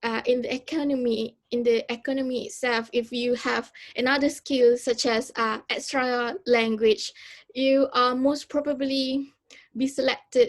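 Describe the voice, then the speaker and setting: A woman with a Malaysian accent speaks at a fairly slow pace and a high pitch. Her intonation is fairly even, and the background is quiet. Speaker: university student. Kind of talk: student presentation. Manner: halting, many fillers.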